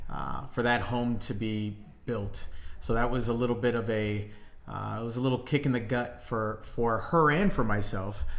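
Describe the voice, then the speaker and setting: Amid audible room echo, a man talks at a moderate pace with a medium pitch and ordinary pitch variation. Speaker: real estate agent. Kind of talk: casual chat. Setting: livestream. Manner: loud.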